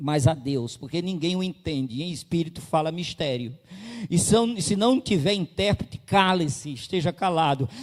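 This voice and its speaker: A man's normal speaking voice at a fairly high pitch, with lively intonation and a moderate pace. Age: 60s. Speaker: pastor. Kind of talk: sermon.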